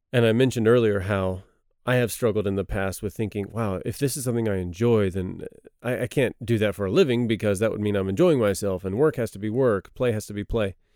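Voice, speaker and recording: A man's fairly low voice with a dark, mellow tone and a Texan accent, very fast in pace with ordinary pitch variation, on a very clean recording with a silent background. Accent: Texan American English. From Texas. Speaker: missionary. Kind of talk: Bible study discussion. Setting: studio.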